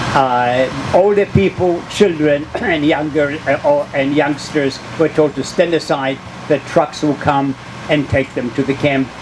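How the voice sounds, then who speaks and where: Noticeable background noise sits under a man with a fairly high pitch. He speaks at a fairly slow pace with fairly even intonation. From Poland. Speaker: Holocaust survivor. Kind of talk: public talk, personal memoir.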